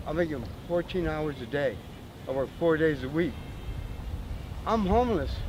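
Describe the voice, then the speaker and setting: A man talks at a fairly quick pace with an American accent. Room echo is audible. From Southern California, Imperial Beach. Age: 60s. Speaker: homeless man. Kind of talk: street interview. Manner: animated.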